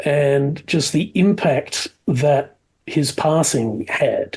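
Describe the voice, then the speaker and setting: A man's fairly high, somewhat breathy voice, dark and mellow in tone, with ordinary pitch variation. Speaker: podcast host. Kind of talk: podcast interview.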